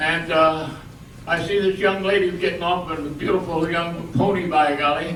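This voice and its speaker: Over noticeable background noise, a man with an American accent speaks at a high pitch with monotone, flat intonation. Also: moderate pace. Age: 80s+. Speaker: war veteran. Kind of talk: reunion speech.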